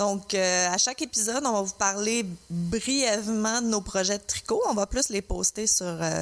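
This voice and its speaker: Speaking at a fairly slow pace, a woman with a Quebec accent keeps a medium pitch, very even loudness and ordinary pitch variation. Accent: Québécois French. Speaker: podcast co-host. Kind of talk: casual chat. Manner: frequent hesitations and fillers.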